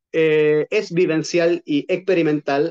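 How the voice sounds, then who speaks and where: A man's fairly high-pitched voice at a very slow pace, dry and close with no echo. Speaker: Gestalt therapist and trainer. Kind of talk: lecture. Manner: hesitant, many fillers.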